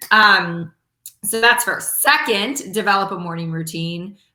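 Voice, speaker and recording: A woman with an animated tone, ordinary pitch variation and a moderate pace. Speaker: network marketing leader and motivational speaker. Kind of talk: motivational talk.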